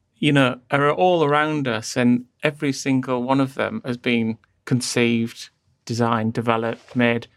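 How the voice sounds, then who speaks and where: Speaking with a northeastern English accent, the voice keeps fairly even intonation at a moderate pace. The recording is very clean, with a silent background. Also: man, medium pitch for a man. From northeast England. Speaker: design agency founder. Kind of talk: interview conversation.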